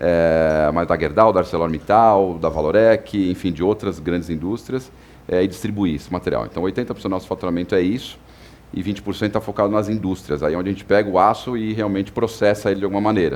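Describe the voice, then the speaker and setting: Very deep and low in pitch, this man's voice rushes along at a very fast rate. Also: ordinary pitch variation. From São Paulo, Brazil. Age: 40s. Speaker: company executive. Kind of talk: podcast interview. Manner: hesitant, many filler words.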